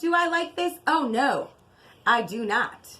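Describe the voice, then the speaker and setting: A woman puts on a character voice with a high pitch, speaking at a fairly slow pace. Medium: read story. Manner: scolding, fretful.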